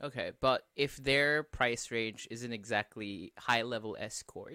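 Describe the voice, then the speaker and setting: Over a very clean, silent background, a man talks at a very slow pace with ordinary pitch variation in a dry, close sound with no echo. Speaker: podcast host. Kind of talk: casual chat. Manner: casual, swearing.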